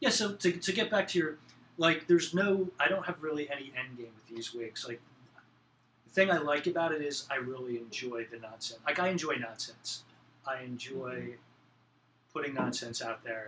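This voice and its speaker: A man with an American accent at a moderate pace, bright and sharp in tone, lively in intonation, with big swings in loudness. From central New Jersey. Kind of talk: casual conversation.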